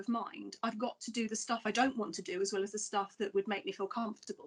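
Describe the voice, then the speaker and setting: A woman's voice sits fairly high in pitch. It sounds somewhat breathy. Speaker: college safeguarding manager. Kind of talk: panel discussion. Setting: podcast recording.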